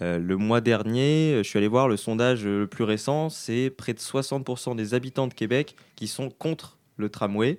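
On a very clean recording with a silent background, a man with a medium pitch speaks at a very slow pace with ordinary pitch variation. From France. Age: 20s. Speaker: political science student columnist. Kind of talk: casual discussion.

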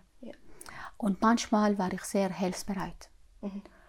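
Somewhat breathy, medium-pitched speech from a woman with an Arabic accent and fairly even intonation. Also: long, frequent pauses. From Syria. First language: Arabic (speaking German). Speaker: mother of the host. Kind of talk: casual conversation, interview. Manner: halting.

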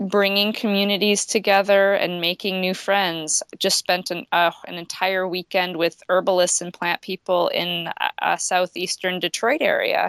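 On a very clean recording with a silent background and a dry, close sound with no echo, a woman with an American accent speaks at a medium pitch and a moderate pace. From western Michigan, US Midwest. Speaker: author and forager. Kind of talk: casual interview conversation.

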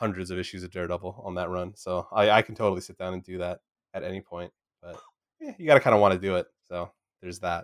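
Very fast in pace, a man with a very deep, low pitch speaks with fairly even intonation and big swings in loudness, in a dry, close sound with no echo. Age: 30s. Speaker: podcast host. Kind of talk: casual chat.

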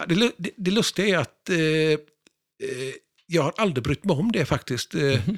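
A man speaks at a high pitch with lively intonation. He leaves long, frequent pauses. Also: fairly slow pace, dry, close sound with no echo. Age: 60s. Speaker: pinball historian and collector. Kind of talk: casual interview.

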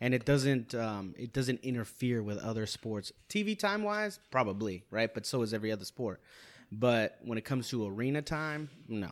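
An unremarkable speaking voice comes from a man at a medium pitch with ordinary pitch variation. The recording is very clean, with a silent background. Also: moderate pace. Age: 30s. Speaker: podcast guest. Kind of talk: casual chat.

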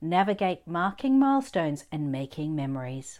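Her tone enthusiastic and her pitch swinging very widely, a woman with an Australian accent is heard in a very clean recording with a silent background. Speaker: podcast host and business owner. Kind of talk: scripted podcast trailer.

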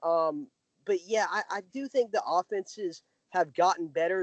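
The speaker is a man with a high pitch and an American accent. His intonation is lively. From US South. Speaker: college football writer. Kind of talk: podcast interview.

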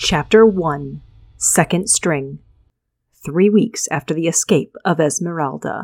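Speaking at a very slow pace, a woman uses a dramatic tone and vocal fry, recorded with a dry, close sound and no echo. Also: ordinary pitch variation. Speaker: author and podcast host. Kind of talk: audiobook-style fantasy reading, narrating scene and voicing characters. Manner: animated narrator, shifts to gruff, sneering coach and eager teen voices; expressive, dramatic pacing.

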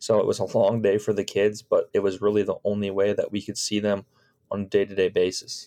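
Recorded very cleanly against a silent background, a man talks at a fairly quick pace with a Chicago accent. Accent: US Midwestern (Chicago area). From Chicago suburbs, US Midwest. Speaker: high school baseball coach. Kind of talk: casual interview.

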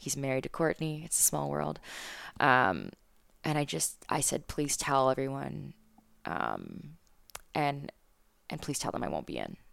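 A woman speaks at a fairly slow pace, leaving long, frequent pauses. The recording is very clean, with a silent background. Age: 20s. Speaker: morning TV news co-anchor and spin instructor. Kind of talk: interview conversation.

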